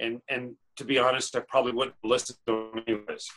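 In a quiet background, a man with an American accent talks at a fairly quick pace in a bright, sharp tone and monotone, flat intonation. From Northern California, Chico. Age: 40s. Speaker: artist. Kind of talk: interview. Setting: video call. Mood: warm, reflective. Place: home room.

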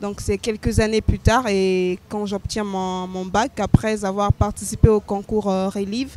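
Over light background noise, a woman speaks at a very slow pace with fairly even intonation, the sound dry with no echo. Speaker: interview guest, slam poet. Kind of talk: interview answer. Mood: calm, reflective. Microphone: handheld.

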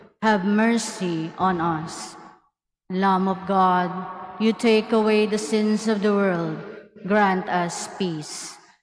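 A woman's medium-pitched voice, very slow and fairly even in intonation, with audible room echo. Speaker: mass commentator. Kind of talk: liturgical responses and prayers. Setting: cathedral.

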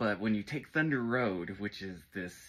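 A man's fairly low voice with ordinary pitch variation. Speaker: music fan lecturer. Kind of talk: casual lecture. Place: home room. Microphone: phone near.

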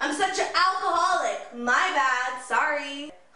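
In a raised, projected voice, a woman speaks at a fairly slow pace with audible room echo. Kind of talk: acted skit dialogue. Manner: slurring, sarcastic drunk character voice. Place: home room. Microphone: camera far.

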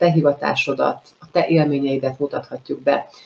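A woman with a very deep, low pitch speaks at a moderate pace with fairly even intonation. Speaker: host of live interview show. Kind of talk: live show introduction. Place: home room.

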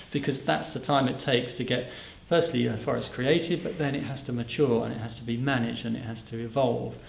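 Amid audible room echo and light background noise, a man speaks at a very fast pace with ordinary pitch variation. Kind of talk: interview answer. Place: hall.

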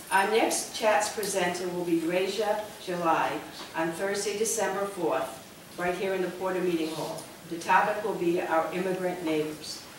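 A woman speaks with fairly even intonation amid audible room echo and light background noise. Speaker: event host. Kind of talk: formal introduction. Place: hall.

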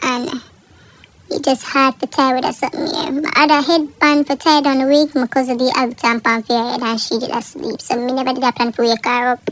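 Through noticeable background noise, a woman speaks at a high pitch with fairly even intonation. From Jamaica. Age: 20s. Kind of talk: casual voiceover for hair tutorial.

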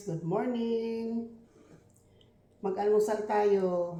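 A woman at medium pitch speaks at a very slow pace in a monotone, flat intonation, with long, frequent pauses and audible room echo. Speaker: vlogger. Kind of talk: casual eating vlog. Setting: at home.

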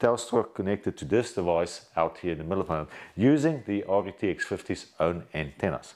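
A man speaks at a moderate pace with lively intonation and vocal fry. The background is quiet. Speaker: presenter. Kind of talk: tutorial. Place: home room.

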